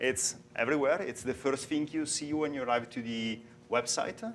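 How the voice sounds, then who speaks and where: A man talks at medium pitch and a moderate pace with an Italian accent. His intonation is lively. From Italy. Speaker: software developer and conference speaker. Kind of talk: conference talk. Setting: stage with audience. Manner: halting.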